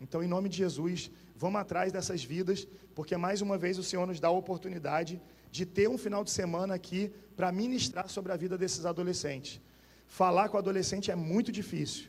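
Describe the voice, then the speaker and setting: A high-pitched man's voice at a fairly quick pace. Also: ordinary pitch variation. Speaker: pastor. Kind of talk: sermon. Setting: church.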